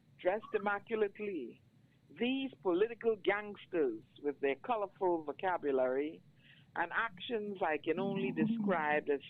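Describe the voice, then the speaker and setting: A woman with a Bajan accent, medium pitch, very wide pitch swings and a moderate pace. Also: very even loudness. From Barbados. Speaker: poet. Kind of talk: poetry reading.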